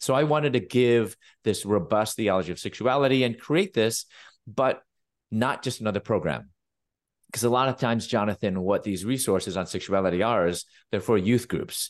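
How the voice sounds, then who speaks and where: A man speaks in an ordinary speaking voice, at a medium pitch and moderate pace with ordinary pitch variation. His loudness stays very even against a quiet background. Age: 50s. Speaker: pastor, Bible professor and author. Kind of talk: interview.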